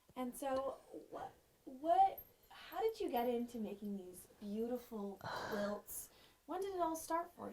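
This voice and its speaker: Over noticeable background noise, a woman speaks at a fairly slow pace with high pitch and very wide pitch swings. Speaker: TV news reporter. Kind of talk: interview questions.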